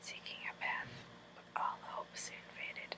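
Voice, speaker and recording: A woman whispers at a fairly slow pace. Noticeable background noise sits behind her. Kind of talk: whispered storybook reading for relaxation. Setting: recorded in bed at night. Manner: whispered, soft.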